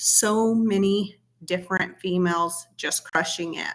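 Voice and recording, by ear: Delivered at a slow pace, the voice has a fairly bright tone and ordinary pitch variation. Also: woman.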